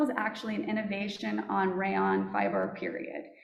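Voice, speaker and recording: Through noticeable background noise and audible room echo, a woman is heard speaking. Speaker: fiber company representative. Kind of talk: conference presentation.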